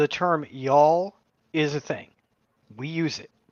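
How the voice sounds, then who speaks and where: Moderate pace with fairly even intonation. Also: woman. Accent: American. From Texas (Corpus Christi, southern coast). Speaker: podcast co-host. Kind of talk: casual chat.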